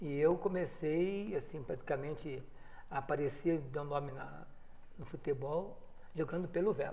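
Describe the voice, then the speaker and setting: A man speaks at a fairly slow pace with long, frequent pauses. His fairly high voice is somewhat breathy, with a dark, mellow tone. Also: ordinary pitch variation. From Rio Claro, São Paulo state, Brazil. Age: 60s. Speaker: former footballer and coach. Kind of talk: interview.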